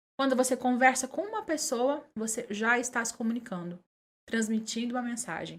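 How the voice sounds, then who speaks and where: A woman at a high pitch and a moderate pace, with ordinary pitch variation. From Minas Gerais, Brazil (Conceição das Alagoas). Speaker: journalist and communicator. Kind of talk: podcast interview.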